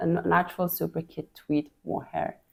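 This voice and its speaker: Her pace is fairly slow. The woman's tone is dark and mellow. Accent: Swiss. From Switzerland. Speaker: knitting podcast host. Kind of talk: casual chat.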